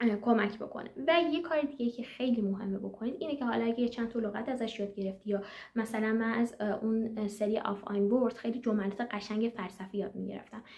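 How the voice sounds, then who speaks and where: Over noticeable background noise, a woman rushes along at a very fast pace with hardly any pauses, her pitch fairly high and her intonation fairly even. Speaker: German language teacher and exam consultant. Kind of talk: tutorial. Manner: hesitant, frequent fillers.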